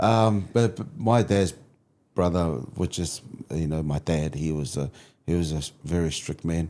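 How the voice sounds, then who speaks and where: A man's very deep, low voice, dark and mellow in tone, with ordinary pitch variation, a moderate pace and long, frequent pauses. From Samoa, moved to New Zealand at six. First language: Samoan. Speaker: youth mentor and community leader. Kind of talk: interview conversation. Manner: halting, with repetitions.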